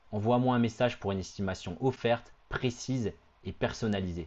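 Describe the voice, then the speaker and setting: A man's fairly low voice, an unremarkable speaking voice with ordinary pitch variation. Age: 30s. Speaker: real estate agent. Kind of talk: sales pitch. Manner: confident, punchy.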